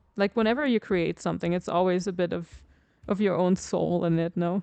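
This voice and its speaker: Against a quiet background, a woman with a German accent talks at a moderate pace and fairly low pitch, with ordinary pitch variation, very even loudness, and a dry, close sound with no echo. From Germany. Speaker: video game streamer. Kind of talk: casual chat.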